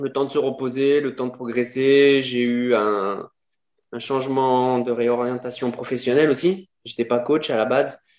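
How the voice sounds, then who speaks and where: Using an ordinary speaking voice, a man talks at a medium pitch and a fairly slow pace with fairly even intonation. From France, Lyon. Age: 40s. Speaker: bodybuilder and fitness coach. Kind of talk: podcast interview.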